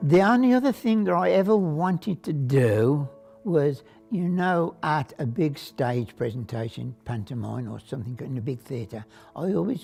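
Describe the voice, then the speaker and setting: Music plays in the background as the voice moves through very wide pitch swings at a fairly slow pace. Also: man. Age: 80s+. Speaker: cinema projectionist. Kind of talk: interview answer.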